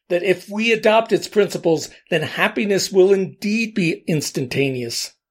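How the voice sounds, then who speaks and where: Heard on a very clean recording with a silent background, a man with an American accent speaks with lively intonation. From US Northeast, Allentown, Pennsylvania. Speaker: podcast host. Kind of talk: scripted monologue. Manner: measured, essay-like delivery.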